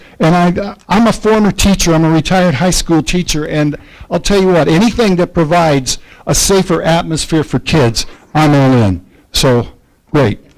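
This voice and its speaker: A man with an American accent, high-pitched, at a moderate pace, with very even loudness and ordinary pitch variation. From US Midwest, Muncie, Indiana. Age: 60s. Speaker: retired teacher, public commenter. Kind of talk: public comment at city council meeting. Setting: council chamber. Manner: halting, with stammers and repeats.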